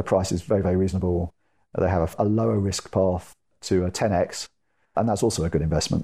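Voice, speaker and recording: A man with a British accent speaks very fast in a very deep, low pitch with ordinary variation and a dark, mellow tone. The recording is very clean with a silent background, dry and close with no echo. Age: 40s. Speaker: tech entrepreneur and angel investor. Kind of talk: interview. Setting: in person at the guest's home.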